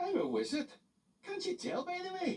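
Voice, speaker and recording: A man puts on a squeaky character voice with an extremely high pitch. He talks at a moderate pace. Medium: read story. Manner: hearty, cheerful.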